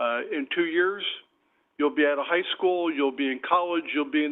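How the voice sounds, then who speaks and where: A normal speaking voice from a man, pitched fairly high, with ordinary pitch variation and a moderate pace. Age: 60s. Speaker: city council member. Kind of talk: council meeting remarks.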